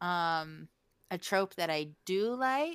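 Heard in a dry, close sound with no echo, a woman with an American accent speaks with very wide pitch swings. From West Virginia. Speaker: podcast co-host. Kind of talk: casual chat.

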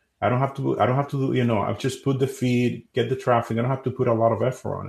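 A man with a Spanish accent talks at a very fast clip in a medium pitch, his delivery flat and monotone with vocal fry. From Dominican Republic. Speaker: SEO company CEO. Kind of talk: interview. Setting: live stream.

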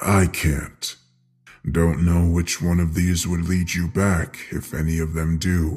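A man uses a put-on character voice, low in pitch with little movement. He speaks slowly, his tone slightly mellow with a slightly husky edge.

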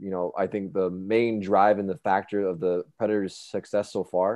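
A man with a normal speaking voice speaks fairly slowly, his pitch fairly low and his intonation fairly even. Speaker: podcast co-host. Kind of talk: casual sports banter podcast.

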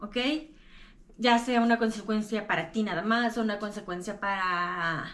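In an ordinary speaking voice, a woman talks at a fairly slow pace with a medium pitch and fairly even intonation. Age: 30s. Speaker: podcaster sharing lived experience of mental illness. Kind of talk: personal talk to camera.

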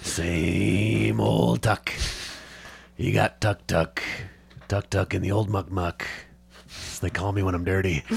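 A man puts on a raspy character voice, very deep and low in pitch. He talks at a fairly slow pace with long, frequent pauses and very even loudness. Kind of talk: rustic, folksy. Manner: playful, sing-song.

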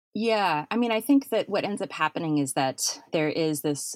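A woman with a very deep, low pitch and very wide pitch swings at a moderate pace, in a dry, close sound with no echo. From North Dakota, Fargo. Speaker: podcaster and professor. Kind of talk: casual interview chat. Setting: remote call from a basement.

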